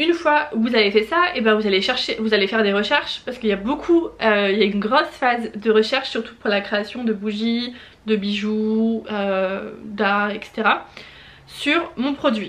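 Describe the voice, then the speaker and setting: Moderate pace, ordinary pitch variation and noticeable background noise. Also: woman. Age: 20s. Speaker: small business owner and YouTuber. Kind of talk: tutorial. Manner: hesitant, many fillers.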